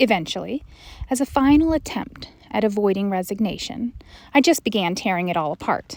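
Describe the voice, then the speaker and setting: This woman has an ordinary speaking voice with a fairly high pitch. Her intonation is lively and her pace fairly quick. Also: very clean recording, silent background. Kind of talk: meditation reading, reflective spoken essay.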